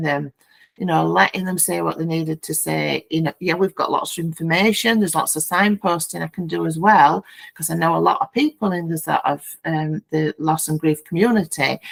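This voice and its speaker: A woman with a Yorkshire accent, fairly low-pitched, at a moderate pace with fairly even intonation, in a dry, close sound with no echo. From Yorkshire, England. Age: 50s. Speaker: founding director of a bereavement peer support group. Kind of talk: podcast interview answer.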